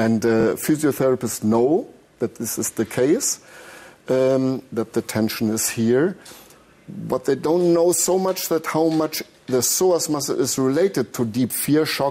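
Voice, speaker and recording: The man's fairly high voice has lively intonation, with noticeable background noise behind it. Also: fairly slow pace. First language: not English. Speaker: therapist, trauma exercise instructor. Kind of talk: interview. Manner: halting.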